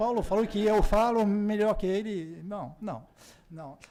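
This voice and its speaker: A man with a French accent speaks at a high pitch. His tone is dark and mellow. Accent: French accent in Portuguese, non-native. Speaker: political science professor, keynote speaker. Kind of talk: conference keynote lecture. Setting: university conference with audience. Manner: halting, self-correcting.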